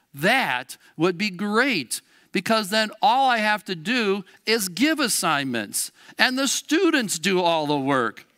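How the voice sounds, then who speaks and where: A man's raised, projected voice, high and with a bright, sharp tone, making very wide pitch swings at a very slow pace, recorded dry and close with no echo in a very clean recording with a silent background. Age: 60s. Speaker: Lutheran school educator preaching. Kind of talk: sermon. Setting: church.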